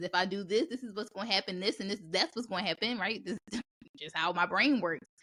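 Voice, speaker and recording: A woman with a medium-pitched voice talks at a very fast pace in an animated tone with lively intonation, and the sound is dry and close with no echo. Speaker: podcast host. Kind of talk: casual chat. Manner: loud.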